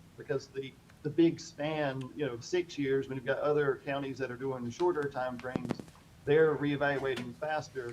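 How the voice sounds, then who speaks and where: Noticeable background noise runs behind a man with a fairly high pitch. He speaks at a moderate pace with fairly even intonation. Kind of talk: public meeting answer. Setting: county board meeting room. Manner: speaking loudly, almost shouting.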